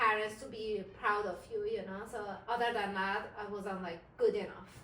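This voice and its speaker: A woman with an Iranian accent speaks at a fairly high pitch, with audible room echo and noticeable background noise. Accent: Iranian (Persian) accent in English. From Iran, Isfahan. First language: Persian. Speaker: interviewee. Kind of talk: interview. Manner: hesitant, many fillers.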